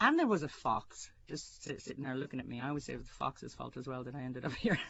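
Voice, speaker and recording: Someone with an American accent talks at a very fast pace. The loudness swings widely. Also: woman. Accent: American with picked-up Irish phrasing. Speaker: writer. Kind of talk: interview testimony. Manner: hesitant with fillers.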